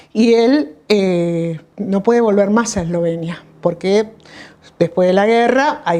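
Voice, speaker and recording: Noticeable background noise sits behind a woman with a medium pitch and lively intonation. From Argentina, Buenos Aires province. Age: 60s. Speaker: doctor. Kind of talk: interview. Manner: halting, with many fillers.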